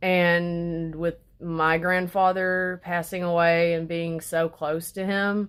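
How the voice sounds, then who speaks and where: A woman's fairly low, flat monotone in a Southern US accent, very slow with hardly any pauses, on a very clean recording with a silent background. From Arkansas. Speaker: vlogger. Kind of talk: casual chat. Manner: halting.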